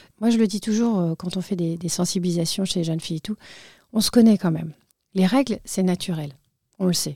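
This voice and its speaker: A woman speaks at medium pitch and a fairly quick pace, her somewhat breathy voice dark and mellow in tone, with ordinary pitch variation, long, frequent pauses, and a very clean recording over a silent background. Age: 40s. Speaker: patient association president. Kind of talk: interview. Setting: studio.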